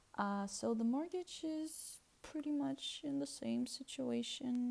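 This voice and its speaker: A woman speaks with a Russian accent. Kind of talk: casual talk to camera. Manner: hesitant, with fillers.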